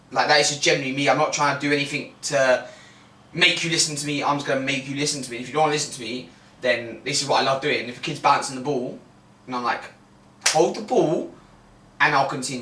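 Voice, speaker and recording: A man's fairly high voice at a very fast pace, with long, frequent pauses, audible room echo and noticeable background noise. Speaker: football coach and podcast co-host. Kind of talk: casual chat. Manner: loud; animated.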